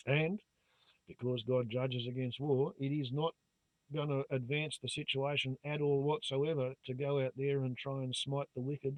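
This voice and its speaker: Speaking at a moderate pace, a man with an Australian accent has a fairly high pitch. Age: 60s. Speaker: YouTuber. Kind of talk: monologue to camera. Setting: phone camera recording. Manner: animated. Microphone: phone camera mic, low volume.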